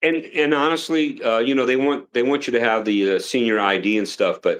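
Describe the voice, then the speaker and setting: With a plain, everyday voice, a man talks at a fairly quick pace and medium pitch, keeping very even loudness and ordinary pitch variation. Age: 60s. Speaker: retired military officer. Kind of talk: casual live stream chat.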